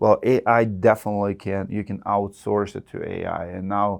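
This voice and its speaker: Against a quiet background, a man with a Russian accent speaks in a fairly low pitch with fairly even intonation. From Russia (Siberia). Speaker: roofing contractor. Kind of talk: podcast interview. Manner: halting.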